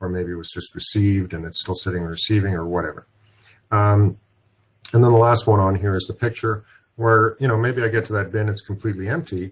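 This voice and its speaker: Somewhat breathy and fairly low in pitch, a man talks at a fairly quick pace with ordinary pitch variation over a quiet background. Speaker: software product presenter. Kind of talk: webinar product demo. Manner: fast.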